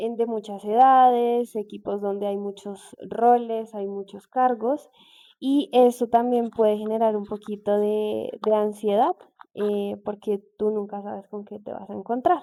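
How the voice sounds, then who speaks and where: A woman with a fairly high pitch and a dark, mellow tone speaks at a fairly slow pace. Her intonation is fairly even, but her loudness swings a lot. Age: 20s. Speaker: industrial engineer. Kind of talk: interview.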